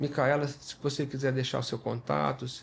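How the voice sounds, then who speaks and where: At a moderate pace, a man speaks somewhat breathily at a fairly high pitch with ordinary pitch variation. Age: 60s. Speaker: dermatologist and podcast host. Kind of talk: podcast conversation. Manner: halting, many fillers and repetitions.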